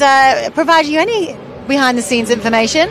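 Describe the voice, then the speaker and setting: Over music in the background, a woman talks with a high pitch and ordinary pitch variation. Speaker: sidecar racing interviewer/presenter. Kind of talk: live trackside broadcast chat.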